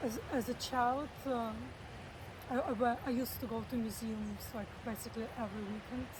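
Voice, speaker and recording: With audible room echo, a woman with vocal fry speaks at a moderate pace in a fairly high pitch with fairly even intonation. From Russia, Saint Petersburg. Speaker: artist and illustrator. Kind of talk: interview. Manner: halting.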